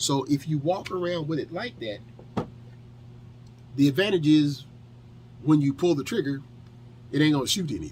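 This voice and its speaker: At a fairly quick pace broken by long, frequent pauses, a man with an American accent speaks in a fairly high voice with lively intonation. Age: 50s. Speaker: firearms instructor and detailing video creator. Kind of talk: tutorial. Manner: casual, conversational with fillers.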